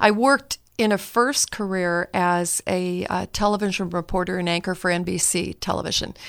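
In a plain, everyday voice with an American accent, the speaker keeps a moderate pace and fairly even intonation, with hardly any pauses. The recording is very clean, with a silent background. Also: woman, medium pitch for a woman. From US West Coast, Northern California. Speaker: marriage and family therapist. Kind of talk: podcast interview.

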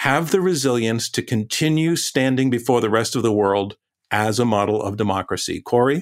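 With a plain, everyday voice, a man speaks at a medium pitch using lively intonation on a very clean recording with a silent background. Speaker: debate moderator. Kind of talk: moderating a debate.

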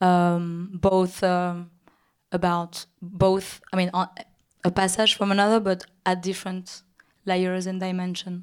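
A woman with a French accent speaks at a fairly slow pace and a medium pitch. Her intonation is monotone and flat, and the recording is very clean with a silent background. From Paris, France. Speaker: film director. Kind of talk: on-stage interview conversation. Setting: stage with audience. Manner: halting, hesitant, repeats words.

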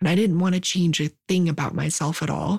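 Moderately paced, somewhat breathy speech with ordinary pitch variation, in a very clean recording with a silent background and a dry, close sound with no echo. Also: woman. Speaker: storyteller. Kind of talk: personal story told aloud.

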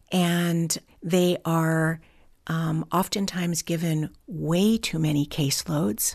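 Against a quiet background, a woman speaks very slowly in a fairly low voice with ordinary pitch variation. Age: 60s. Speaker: foster care community founder. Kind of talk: interview.

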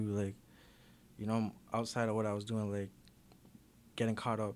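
This is a man speaking. He has a Toronto accent. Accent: Toronto urban Canadian English. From Toronto, Canada (Jane and Weston area). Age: 20s. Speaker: rapper. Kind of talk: casual interview.

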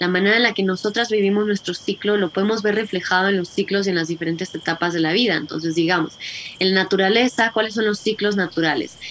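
Very fast and with very even loudness, a woman talks using fairly even intonation. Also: medium pitch for a woman. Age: 30s. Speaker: menstrual health educator. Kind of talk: interview.

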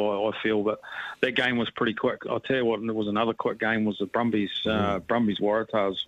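In a New Zealand accent, a man talks at a fairly quick pace with fairly low pitch and monotone, flat intonation. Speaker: rugby coach. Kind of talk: radio interview.

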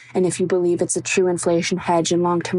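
Against noticeable background noise, a woman with a fairly low pitch speaks in a monotone, flat intonation. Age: 20s. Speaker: university student. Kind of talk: recorded voice question.

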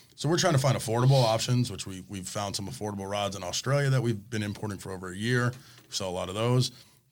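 Talking at a very fast pace with an American accent, a man uses a fairly low pitch. His loudness swings widely while his pitch variation stays ordinary. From South Florida. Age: 40s. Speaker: fishing tackle shop owner. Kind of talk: casual chat.

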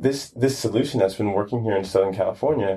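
The voice has a dark, mellow tone and is somewhat breathy, speaking with an American accent and ordinary pitch variation. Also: man. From Brooklyn, New York. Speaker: startup founder. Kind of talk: casual interview.

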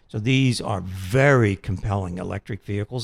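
Spoken at a moderate pace with ordinary pitch variation, this is an unremarkable speaking voice on a very clean recording with a silent background. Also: man. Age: 60s. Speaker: car dealership company chief executive. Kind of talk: radio interview.

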